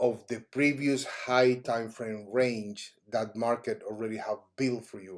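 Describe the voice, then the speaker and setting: A man with a Cuban accent at a fairly slow pace, on a very clean recording with a silent background. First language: Spanish. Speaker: trading educator. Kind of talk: tutorial. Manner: halting.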